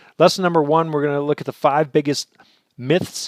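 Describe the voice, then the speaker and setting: The man's fairly high voice comes across dry and close, with no echo. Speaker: real estate investing educator. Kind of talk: webinar presentation. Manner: fast.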